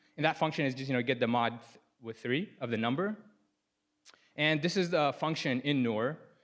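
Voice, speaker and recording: Against a quiet background, a man with an Arabic accent and a fairly high voice speaks at a fairly quick pace with ordinary pitch variation and long, frequent pauses. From Sudan, moved to US at nine. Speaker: software programmer presenting his project. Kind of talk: conference talk. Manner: casual, many fillers and self-corrections.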